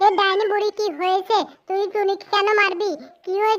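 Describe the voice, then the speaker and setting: A squeaky, cartoonish character voice at an extremely high pitch keeps a monotone, flat intonation at a moderate pace. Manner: blunt, forceful.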